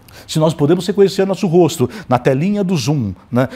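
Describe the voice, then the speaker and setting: With a dark, mellow tone and a fairly high pitch, a man speaks at a fairly quick pace using lively intonation. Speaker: professor. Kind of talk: lecture. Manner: fast. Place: studio.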